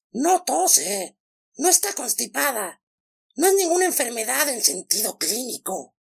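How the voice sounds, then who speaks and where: Pitched fairly high and croaky, a put-on character voice swings very widely in pitch at a moderate pace. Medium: read story.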